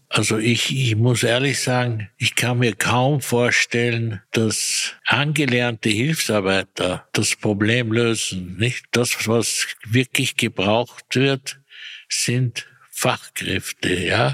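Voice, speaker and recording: The voice comes at a very slow pace with very even loudness and fairly even intonation. The sound is dry and close, with no echo. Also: man, medium pitch for a man. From Austria, Vienna area. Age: 80s+. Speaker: retired personnel manager. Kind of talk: interview. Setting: echoey room.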